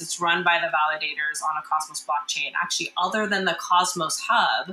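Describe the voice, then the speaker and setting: Noticeable background noise sits behind a woman's voice. She talks at a fairly quick pace with a fairly low pitch. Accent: American. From rural US. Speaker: tech startup founder. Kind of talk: interview.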